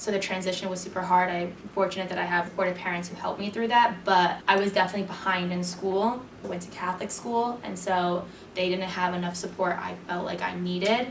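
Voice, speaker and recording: A woman talks at a fairly quick pace and medium pitch in a monotone, flat manner. Noticeable background noise and audible room echo surround her voice. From Puerto Rico. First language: Spanish. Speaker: university student interviewee. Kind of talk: interview.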